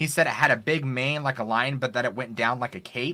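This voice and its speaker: Over a silent background in a very clean recording, a man talks at a fairly quick pace with a medium pitch. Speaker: story narrator. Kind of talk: interview answer. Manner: well spoken.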